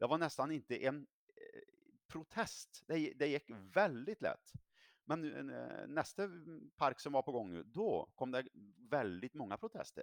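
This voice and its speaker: A man's fairly high voice with vocal fry and very wide pitch swings, fairly slow with long, frequent pauses, in a dry, close sound with no echo. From Sweden, Värmland. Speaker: politician. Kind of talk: political interview.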